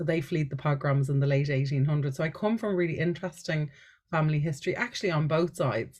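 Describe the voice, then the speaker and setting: Against a quiet background, a woman with a Dublin accent speaks very fast in a very deep, low, somewhat breathy voice, with ordinary pitch variation and very even loudness. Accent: Irish (Dublin). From Ireland, Dublin. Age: 40s. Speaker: life coach and energy healer. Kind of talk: podcast interview.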